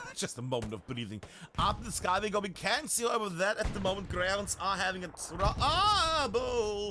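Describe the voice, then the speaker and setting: Amid noticeable background noise, a man with a high pitch projects a raised, animated voice at a moderate pace, with very wide pitch swings. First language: not English. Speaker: esports caster. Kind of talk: live commentary.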